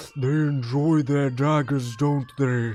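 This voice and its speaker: A man in a put-on character voice, fairly high in pitch, at a fairly slow pace. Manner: sinister, ominous.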